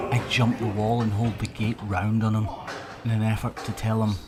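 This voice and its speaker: A man with a fairly low voice speaks against noticeable noise in the background. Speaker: hoof trimmer. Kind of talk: video voiceover narration.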